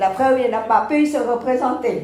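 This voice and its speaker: Over noticeable background noise and audible room echo, a woman with a non-native accent speaks at a fairly slow pace in a high pitch with ordinary pitch variation. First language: not French (speaking French). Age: 70s. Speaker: panel speaker on faith. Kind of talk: conference talk. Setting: round table with audience. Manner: measured.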